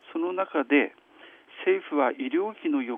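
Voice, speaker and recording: Very wide pitch swings from a man talking at a fairly slow pace. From Hirosaki, Aomori, northern Japan. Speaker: physician. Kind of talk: radio interview. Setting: phone call.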